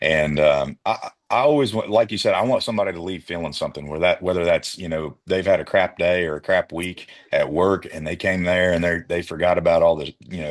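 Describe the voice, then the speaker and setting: Using a very deep, low pitch, a man speaks at a fairly quick pace with hardly any pauses and ordinary pitch variation. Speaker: country singer. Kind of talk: interview. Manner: hesitant with fillers.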